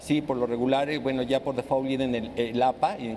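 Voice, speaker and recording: Noticeable background noise sits behind a man's voice. He speaks at medium pitch and a moderate pace. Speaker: librarian and library science educator. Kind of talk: panel discussion. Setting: live broadcast from a library. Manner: halting.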